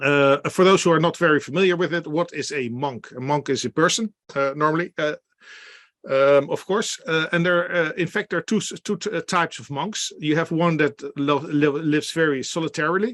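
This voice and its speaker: At a fairly quick pace and a fairly high pitch, a man talks with ordinary pitch variation over a quiet background, the sound dry and close with no echo. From Netherlands. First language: Dutch. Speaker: beer expert and workshop presenter. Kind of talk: online presentation. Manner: halting, many fillers.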